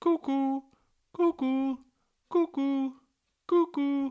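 In a loud, high-pitched put-on character voice, the speaker goes at a very slow pace. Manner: calling.

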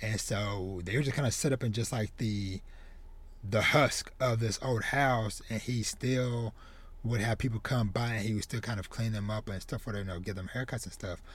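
Delivery comes at a moderate pace with fairly even intonation. The voice sounds somewhat breathy. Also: man, medium pitch for a man. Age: 30s. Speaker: podcast host, manga reviewer. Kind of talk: solo review monologue. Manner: casual, filler-heavy.

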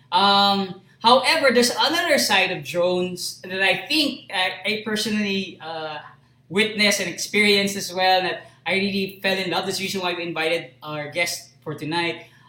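Raising and projecting his high-pitched voice, a man speaks at a moderate pace with ordinary pitch variation. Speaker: live stream host. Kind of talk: casual chat. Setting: live stream.

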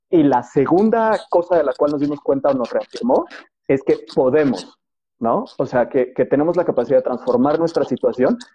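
With an ordinary speaking voice, a man talks at a moderate pace. His pitch is fairly high and his intonation lively. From Mexico City, moved around Mexico. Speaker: financial advisor. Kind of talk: interview.

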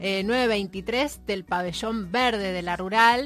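A woman's voice with ordinary pitch variation. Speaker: radio co-host, university staff. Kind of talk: radio show.

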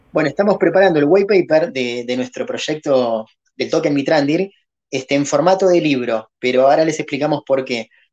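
A man with a plain, everyday voice, fairly high in pitch, ordinary in pitch variation, at a fairly quick pace. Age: 40s. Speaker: crypto project founder. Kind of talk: podcast interview.

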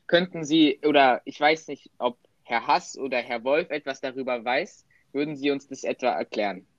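A man's fairly high voice at a moderate pace, with ordinary pitch variation and a dry, close sound free of echo. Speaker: podcast host. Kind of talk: interview moderation. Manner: loud.

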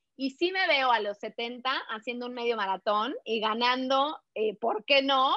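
A woman speaks in a high pitch with an energetic tone and lively intonation. Her pace is fairly slow. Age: 40s. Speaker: running and nutrition coach. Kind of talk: interview.

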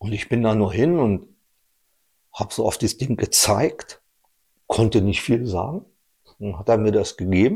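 A man with a somewhat breathy, dark, mellow voice at medium pitch speaks at a moderate pace with ordinary pitch variation and long, frequent pauses. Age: 50s. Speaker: technical civil servant and amateur cyclist. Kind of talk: casual conversation.

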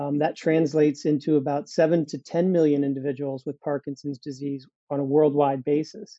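At a moderate pace, a man with a fairly high pitch and fairly even intonation speaks in a plain, everyday voice. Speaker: biotech company CEO. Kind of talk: interview, explanatory.

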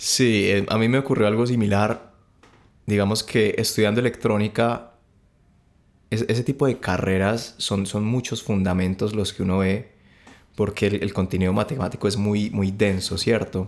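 Spoken in a normal speaking voice at a moderate pace, the recording is very clean with a silent background. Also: man, fairly low pitch for a man. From Colombia, mostly Valle del Cauca (Cali). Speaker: music production graduate. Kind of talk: casual chat.

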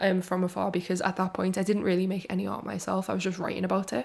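Talking very fast, a woman lets vocal fry creep into her voice. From Liverpool, England. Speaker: gallery director and podcast host. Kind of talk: solo podcast monologue, informal.

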